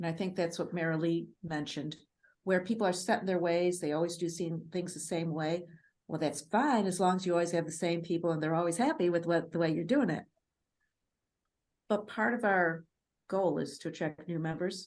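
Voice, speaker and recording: A woman talks fairly quickly with a northern US accent. Her pitch is fairly low and her intonation fairly even. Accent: Yankee (northern US). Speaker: Toastmasters club coach. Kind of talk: seminar panel discussion.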